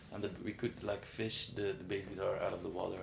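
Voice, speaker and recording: Somewhat breathy and fairly low-pitched, a man talks at a fairly quick pace with fairly even intonation. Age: 20s. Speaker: musician. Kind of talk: interview. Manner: halting.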